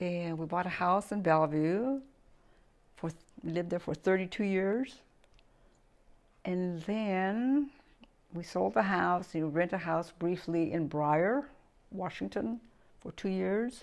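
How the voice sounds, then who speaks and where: A woman with an American accent talks at a very slow pace, her fairly low voice carrying lively intonation. She leaves long, frequent pauses against a quiet background. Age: 80s+. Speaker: grandmother being interviewed. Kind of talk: casual interview. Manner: halting.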